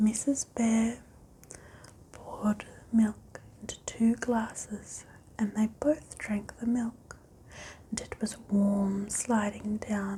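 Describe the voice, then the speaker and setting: Speech comes at a very slow pace. The speaker is soft-spoken. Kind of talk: ASMR bedtime story reading.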